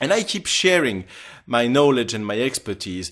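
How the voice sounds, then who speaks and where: Against a quiet background, a man speaks with very wide pitch swings. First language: French. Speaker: translator and software trainer. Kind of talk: self-promotional profile video.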